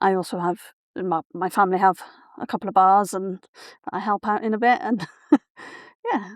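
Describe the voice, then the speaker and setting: A woman's medium-pitched voice in a Welsh accent, with fairly even intonation and long, frequent pauses, on a very clean recording with a silent background. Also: fairly quick pace, dry, close sound with no echo. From South Wales, Barry. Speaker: writer and writing mentor. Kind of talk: interview conversation.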